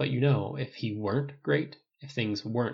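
The speaker is reading aloud in a natural voice with ordinary pitch variation. The background is quiet.

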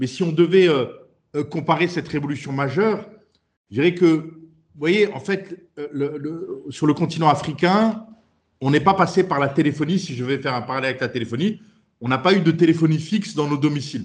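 A man speaks at a moderate pace. His voice is fairly high in pitch, with ordinary pitch variation. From France. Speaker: startup CEO. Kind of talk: interview. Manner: halting.

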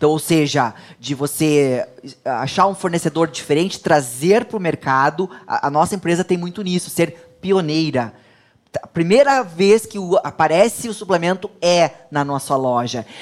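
In a plain, everyday voice, a woman with a fairly low pitch talks at a moderate pace with lively intonation. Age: 40s. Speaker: entrepreneur and pharmacist. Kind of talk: interview.

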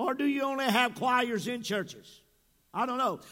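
Speaking at a moderate pace with ordinary pitch variation, a man projects a raised, animated voice that is extremely high-pitched, with a bright, sharp tone. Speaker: pastor. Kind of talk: sermon. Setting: church. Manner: animated, frequent interjections.

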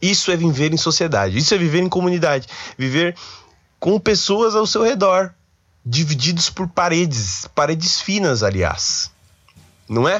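In a São Paulo accent, a man talks at a high pitch and a moderate pace, with long, frequent pauses. His tone is animated and his intonation lively. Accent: Paulistano Brazilian Portuguese. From São Paulo, Brazil. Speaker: podcast host, university student. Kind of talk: casual solo monologue.

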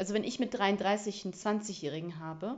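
This woman speaks at medium pitch with ordinary pitch variation. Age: 30s. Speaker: podcast host. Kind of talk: casual solo monologue. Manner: casual, filler-heavy.

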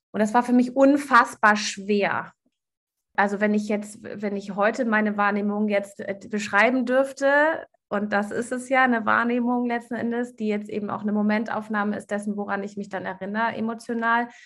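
A woman's plain, everyday voice, fairly high in pitch, at a moderate pace with fairly even intonation. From Germany. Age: 40s. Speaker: life coach. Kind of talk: interview.

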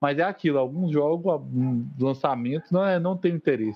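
This man has an unremarkable speaking voice, pitched fairly high, moving at a fairly quick pace with ordinary pitch variation. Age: 30s. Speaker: podcast co-host, chemist. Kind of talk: casual chat.

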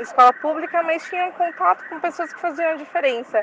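Her intonation is lively as this woman speaks. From São Paulo east side, Brazil. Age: 20s. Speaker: university student. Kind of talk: recorded testimony.

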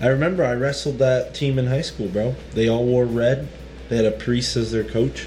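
Noticeable background noise surrounds a man's medium-pitched voice. He speaks at a moderate pace with ordinary pitch variation. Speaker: podcast host. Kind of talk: casual chat.

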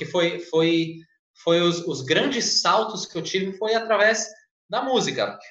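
Room echo is audible as a man talks in a high voice with a bright, sharp tone. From Brazil, São Paulo state (Santa Isabel). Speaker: flight attendant and former English teacher. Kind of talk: casual interview on a livestream.

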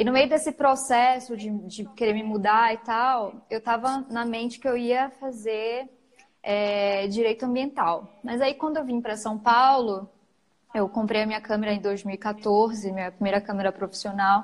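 A woman with a plain, everyday voice talks at a fairly slow pace. Her pitch is fairly high and her intonation fairly even. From Macapá, northern Brazil. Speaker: photographer and online shop owner. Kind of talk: casual interview. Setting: live stream.

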